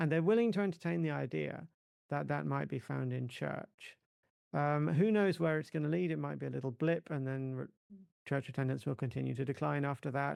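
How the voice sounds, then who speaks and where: Speaking with an English accent, a man keeps a fairly quick pace. The recording is very clean, with a silent background. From England. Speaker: religion scholar, co-author. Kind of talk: podcast interview. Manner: halting, repeats words.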